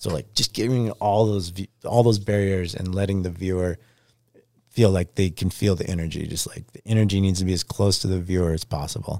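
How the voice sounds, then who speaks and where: In an American accent, a man talks with a dark, mellow tone. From Alaska, Anchorage. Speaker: pro snowboarder. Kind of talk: casual chat. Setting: studio.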